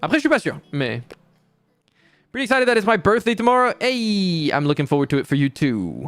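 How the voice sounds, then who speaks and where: With music in the background, a man with a high pitch talks at a very fast pace, his pitch swinging very widely in a dry, close recording with no echo. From France. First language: French. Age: 20s. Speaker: VTuber streamer. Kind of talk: casual chat. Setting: live stream.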